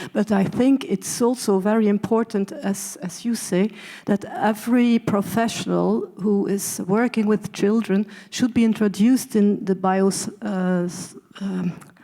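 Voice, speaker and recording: A woman's medium-pitched voice with a Dutch accent, fairly slow and fairly even in intonation, over noticeable background noise. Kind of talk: panel discussion. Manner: halting.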